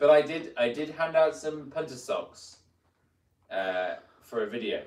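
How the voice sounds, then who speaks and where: Speaking fairly slowly, a man with a British accent uses a fairly high pitch and lively intonation. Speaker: mountain bike video creator. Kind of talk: casual live stream chat. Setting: motel room live stream.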